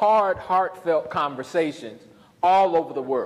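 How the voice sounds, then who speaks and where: A high-pitched man with a Southern US accent. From US South. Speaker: pastor and professor. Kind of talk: lecture.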